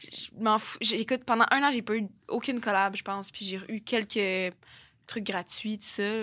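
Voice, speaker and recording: A woman talks at a fairly slow pace with fairly even intonation and a bright, sharp tone. The recording is very clean, with a silent background. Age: 20s. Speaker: content creator. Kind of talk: interview.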